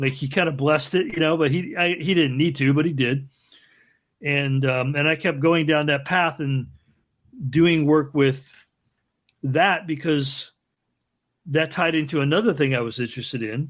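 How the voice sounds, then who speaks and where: A man talks with fairly even intonation and long, frequent pauses on a very clean recording with a silent background. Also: fairly high pitch for a man, moderate pace. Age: 60s. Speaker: ceremonial magician and early internet artist. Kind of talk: podcast interview. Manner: halting with false starts.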